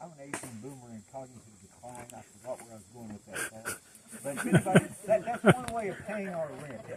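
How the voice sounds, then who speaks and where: A man talks at a fairly quick pace and a fairly high pitch, with very wide pitch swings and big swings in loudness. Noticeable background noise runs under the voice. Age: 70s. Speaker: environmental activist and hike leader. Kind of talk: outdoor group address. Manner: halting.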